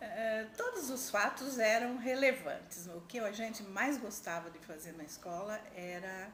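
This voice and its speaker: A woman speaking at a fairly slow pace, with audible room echo. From Brazil, interior of São Paulo state. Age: 60s. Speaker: education administrator, former teacher. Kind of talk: interview.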